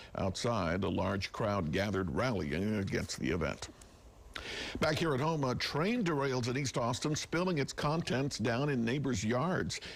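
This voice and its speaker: The voice carries vocal fry and moves through very wide pitch swings. Its loudness stays very even at a moderate pace. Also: man, medium pitch for a man. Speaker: news anchor. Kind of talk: TV news anchor read.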